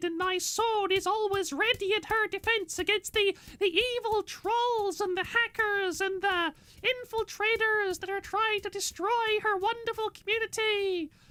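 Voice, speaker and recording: An extremely high-pitched, put-on character voice. It runs on with hardly any pauses. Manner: cheery, sweet, exaggerated.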